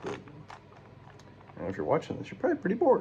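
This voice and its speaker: A man mumbles over noticeable background noise. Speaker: amateur YouTuber. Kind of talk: casual solo vlog while solving a puzzle. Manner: mumbling; slurred, runs words together.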